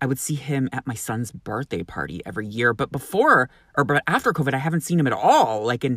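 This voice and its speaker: A man speaks at a fairly quick pace and medium pitch, with lively intonation. The recording is very clean, with a silent background. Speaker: podcast host and clothing line founder. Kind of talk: casual chat, talkative and promotional. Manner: animated, boisterous, profane.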